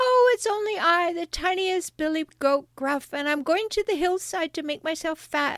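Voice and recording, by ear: Putting on a character voice, a woman speaks at an extremely high pitch. She keeps a moderate pace with hardly any pauses.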